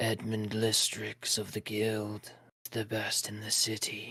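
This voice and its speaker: A man's put-on character voice, whispering and raspy, at a fairly slow pace. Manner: whispery.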